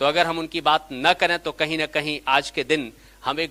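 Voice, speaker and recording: At a moderate pace, a man with a fairly high pitch speaks in a bright, sharp, animated tone, the sound dry and close with no echo. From India, Gujarat (Kathiawar, Saurashtra). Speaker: academic lecturer. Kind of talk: seminar lecture. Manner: animated, interactive with audience.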